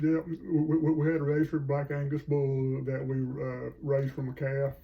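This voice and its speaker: The speaker has a Southern US accent, a moderate pace, and monotone, flat intonation. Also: man, fairly high pitch for a man. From US South, North Carolina. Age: 60s. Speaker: grandfather. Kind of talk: casual interview. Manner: halting.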